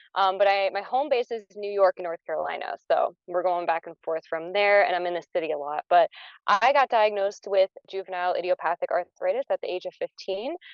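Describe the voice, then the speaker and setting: A woman talks at a fairly quick pace in a normal speaking voice. Her medium pitch shows ordinary variation. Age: 30s. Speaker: patient panelist. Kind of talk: panel discussion. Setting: in a car.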